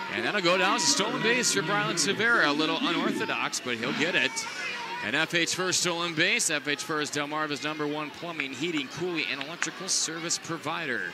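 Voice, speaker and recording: With noticeable background noise behind it, the voice moves at a fairly quick pace with ordinary pitch variation. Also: man, fairly high pitch for a man. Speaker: baseball radio broadcaster. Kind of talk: live baseball play-by-play commentary. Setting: ballpark press box, live broadcast.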